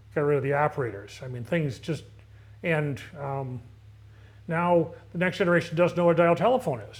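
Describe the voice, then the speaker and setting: Talking fairly quickly with long, frequent pauses, a man with an American accent has a fairly high, somewhat breathy voice and big swings in loudness. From western New York, rural Orleans County. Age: 70s. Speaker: retired local farmer, oral history interviewee. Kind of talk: oral history interview. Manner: halting, many fillers and restarts.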